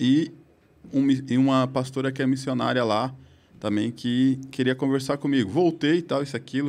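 Moderately paced speech from a man, medium in pitch, the intonation fairly level. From southern Brazil, Criciúma, Santa Catarina; Santa Catarina, Brazil. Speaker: podcast guest. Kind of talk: casual chat. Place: studio. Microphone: studio mic.

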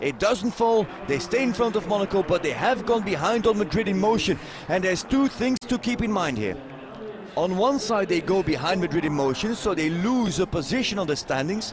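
Pitched high, a man talks at a fairly quick pace with lively intonation and very even loudness. Noticeable background noise runs underneath. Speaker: show jumping commentator. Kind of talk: live sports commentary on show jumping, delivered over the action. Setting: live at the venue with the crowd. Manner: formal, statistics-heavy, informative.

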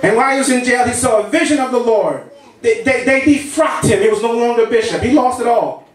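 A man talks at a very fast pace with an extremely high pitch and ordinary pitch variation. Audible room echo and noticeable background noise surround him. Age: 50s. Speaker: pastor. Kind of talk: sermon. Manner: repetitive, stammering.

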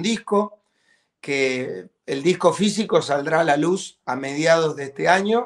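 There is a quiet background behind this man. His high-pitched voice shows ordinary pitch variation. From Argentina. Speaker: rock band drummer. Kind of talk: interview. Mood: warm, upbeat. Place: home room. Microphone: video call.

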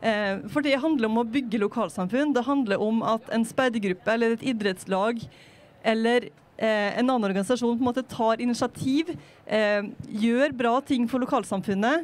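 A woman speaks with an unremarkable speaking voice. Her pitch is fairly high with ordinary variation. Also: moderate pace, very even loudness. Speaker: politician. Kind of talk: panel discussion. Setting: on a sailing ship. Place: waterside. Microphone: handheld.

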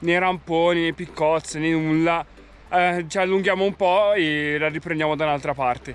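The man's voice sits at a high pitch, and the sound is dry with no echo. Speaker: hiking vlogger. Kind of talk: casual vlog chat. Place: open country. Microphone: phone near.

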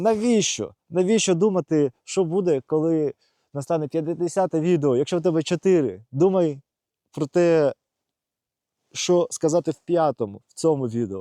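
In a dry, close sound with no echo, a man speaks with a fairly high pitch, a dark, mellow tone and ordinary pitch variation. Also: quiet background. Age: 30s. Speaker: video blogger. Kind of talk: personal vlog monologue. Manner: halting; unscripted, conversational.

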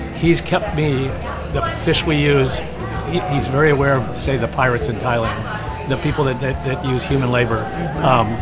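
Clear music plays in the background. The speech has ordinary pitch variation and a moderate pace. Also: man. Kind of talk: interview answer. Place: cafe. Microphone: lapel.

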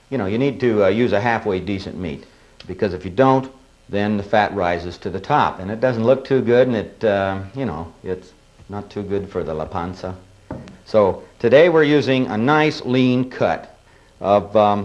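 A man with an ordinary speaking voice talks at a moderate pace, fairly low in pitch with ordinary pitch variation. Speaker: cooking show host. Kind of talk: tutorial. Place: studio.

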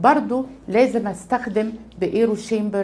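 With an Egyptian accent, the voice has a dark, mellow tone and ordinary pitch variation. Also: woman. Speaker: pediatrics professor and chest allergy consultant; pediatrics professor. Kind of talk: medical tutorial. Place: office.

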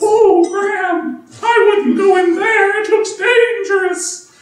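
A put-on character voice, whiny and extremely high-pitched, moves at a fairly slow pace with a slight echo. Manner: complaining, whiny.

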